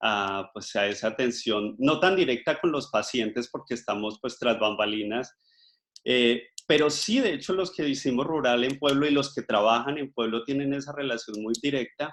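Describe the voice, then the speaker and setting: The delivery comes at a moderate pace with ordinary pitch variation in an unremarkable speaking voice. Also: man, medium pitch for a man. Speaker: microbiologist and life coach giving a talk. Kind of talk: online talk.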